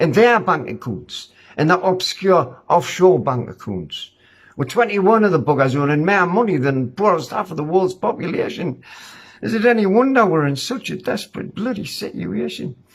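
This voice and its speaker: Speaking in an angry tone with a Northumbrian accent, a man with a high pitch moves at a moderate pace through very wide pitch swings. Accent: Northumbrian pitmatic dialect. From Ashington, Northumberland. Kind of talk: spoken-word poem, rhyming rant. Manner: angry, blunt, colloquial.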